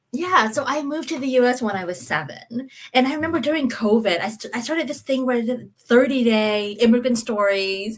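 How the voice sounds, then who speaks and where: A woman with an American accent talks at a fairly quick pace, her high voice carrying lively intonation. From central Texas, US; born in Vietnam. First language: Vietnamese. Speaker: consulting firm founder. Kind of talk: interview storytelling.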